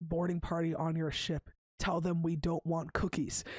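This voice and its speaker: A put-on character voice, robotic and raspy, at middle pitch, with monotone, flat intonation and a moderate pace. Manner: monotone, deadpan.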